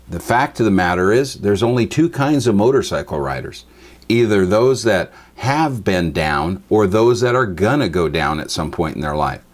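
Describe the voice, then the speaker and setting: In an American accent, a man talks with very wide pitch swings. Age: 60s. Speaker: Bible teacher. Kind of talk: teaching talk.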